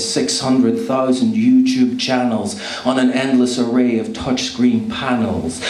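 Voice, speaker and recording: Noticeable background noise sits behind a man speaking at a fairly slow pace. His loudness stays very even. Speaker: spoken word poet. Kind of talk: spoken word poetry performance.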